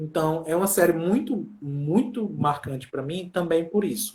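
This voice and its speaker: The pitch is fairly high for this man, and his intonation is lively. He speaks at a moderate pace. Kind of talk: casual chat.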